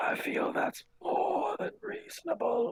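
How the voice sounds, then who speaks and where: A man puts on a character voice that is raspy. He delivers it at a fairly slow pace. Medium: actual play. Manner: formal, haughty.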